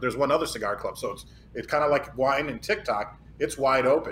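A man speaks at a fairly quick pace. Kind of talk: casual chat.

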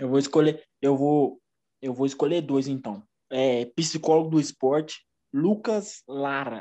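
In a quiet background, a man with an ordinary speaking voice and a fairly high pitch talks at a fairly slow pace with ordinary pitch variation. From Brazil, Minas Gerais (Uberlândia). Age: 20s. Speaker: former footballer and physical education student. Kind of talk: casual interview.

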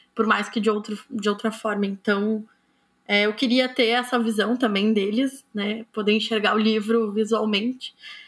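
A woman with a fairly high pitch speaks at a moderate pace, her loudness very even and her intonation monotone and flat. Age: 20s. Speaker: author. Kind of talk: interview. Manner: hesitant, many fillers.

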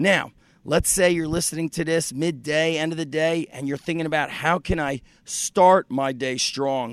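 A man speaks at a moderate pace in a plain, everyday voice with a fairly high pitch. The recording is very clean and dry, with a close sound, no echo and a silent background. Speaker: podcast host and fitness coach. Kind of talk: motivational pep talk. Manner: upbeat, punchy, fired-up and encouraging, direct address to listeners; earnest and conversational, confessional.

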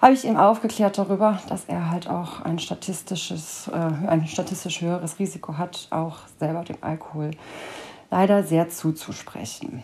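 In a dark, mellow tone, a somewhat breathy woman speaks at a fairly low pitch and fairly slow pace, with ordinary pitch variation and big swings in loudness. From Cologne, Germany. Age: 30s. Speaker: podcaster in addiction recovery. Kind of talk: personal monologue.

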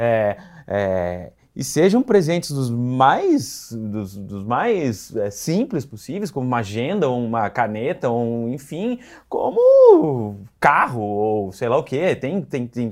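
In a very clean recording with a silent background, a man at medium pitch talks very slowly with lively intonation. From Rio Grande do Sul, Brazil (city of Rio Grande). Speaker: PR agency founder, journalist. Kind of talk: casual interview.

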